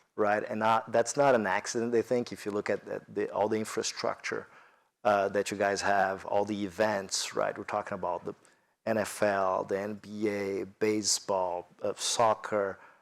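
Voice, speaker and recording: In a very clean recording with a silent background, a man with a Brazilian accent speaks at a moderate pace in a fairly low, monotone, flat voice. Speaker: corporate executive on business panel. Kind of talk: panel discussion. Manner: halting, many fillers.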